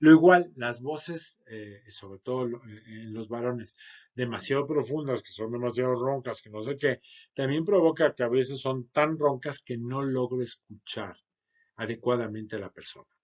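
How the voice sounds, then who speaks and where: At a moderate pace and medium pitch, a man talks with ordinary pitch variation and big swings in loudness. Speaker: sales trainer. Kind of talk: lecture.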